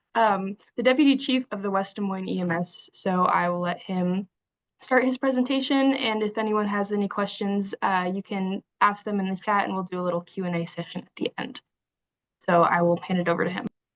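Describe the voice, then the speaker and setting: Fairly quick in pace, a woman talks at a medium pitch with ordinary pitch variation. The sound is dry and close, with no echo. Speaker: webinar host. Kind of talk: introduction. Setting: online webinar. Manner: halting.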